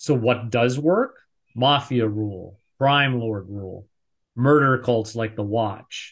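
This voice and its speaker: A man speaks at a medium pitch with ordinary pitch variation. His voice is somewhat breathy against a quiet background. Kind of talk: casual chat. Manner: animated.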